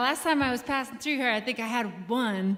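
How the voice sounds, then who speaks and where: A woman's high-pitched, bright, sharp voice at a moderate pace, with audible room echo. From Maine. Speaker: singer-songwriter. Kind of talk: onstage song introduction. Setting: stage with audience.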